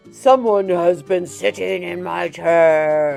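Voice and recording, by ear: A put-on, gruff character voice at middle pitch, very slow pace, with faint music in the background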